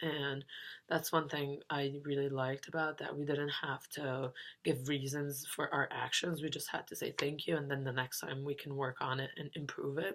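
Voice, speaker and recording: A non-native accent delivered in monotone, flat intonation. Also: woman, very deep, low pitch for a woman, moderate pace. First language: not English. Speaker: university student. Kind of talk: class reflection monologue. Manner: hesitant, many fillers.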